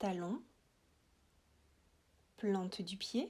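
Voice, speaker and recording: The speech is somewhat breathy and comes at a very slow pace. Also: woman. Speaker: yoga nidra guide. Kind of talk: guided relaxation.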